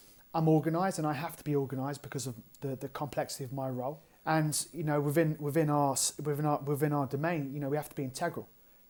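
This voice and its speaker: A fairly high-pitched man with an English accent, talking at a very fast pace in a monotone, flat intonation, on a very clean recording with a silent background. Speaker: strength and conditioning coach. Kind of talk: podcast interview.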